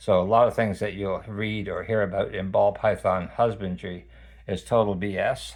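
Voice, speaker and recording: In a fairly low pitch, a man speaks against a quiet background. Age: 60s. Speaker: snake owner, pet care video maker. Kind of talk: tutorial. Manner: halting, with many fillers.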